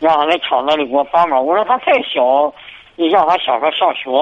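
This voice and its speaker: Through noticeable background noise, a man with a fairly high pitch speaks at a moderate pace. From Hebei, Xingtai. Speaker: radio call-in caller. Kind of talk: call-in advice conversation. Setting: phone call. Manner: halting. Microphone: too quiet on the line.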